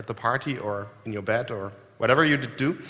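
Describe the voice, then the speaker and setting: A man with a German accent, a bright, sharp tone, a moderate pace and ordinary pitch variation. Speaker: software company founder giving a keynote. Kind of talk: conference keynote. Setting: stage with audience. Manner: hesitant, many filler words.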